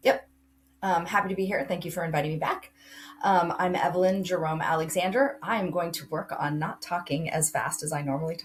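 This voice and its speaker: A woman speaks in a plain, everyday voice at a fairly low pitch. Her pace is fairly quick and her pitch variation ordinary. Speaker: college admissions counselor. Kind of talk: interview.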